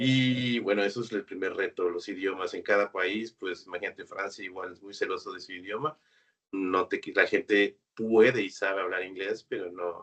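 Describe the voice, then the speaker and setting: This man speaks at a moderate pace. His loudness swings widely. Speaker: automation programmer, freelance engineer. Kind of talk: webinar interview.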